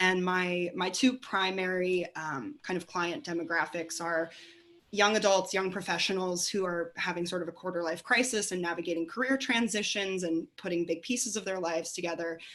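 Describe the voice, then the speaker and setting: At a moderate pace, a woman talks in a normal speaking voice with medium pitch and ordinary pitch variation. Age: 30s. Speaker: family and career coach. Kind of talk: panel discussion.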